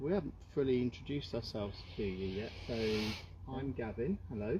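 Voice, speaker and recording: A man's somewhat breathy, dark, mellow voice at medium pitch, with lively intonation and a fairly quick pace. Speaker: paranormal investigator. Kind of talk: casual talk during a paranormal investigation. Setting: outdoors in woods, livestreamed. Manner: calm, soothing.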